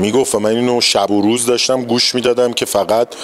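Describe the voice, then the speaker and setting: Over noticeable background noise, a man with a Tehran accent talks very fast at a medium pitch. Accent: Tehrani Persian. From Iran, Tehran. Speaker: stage actor. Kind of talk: interview.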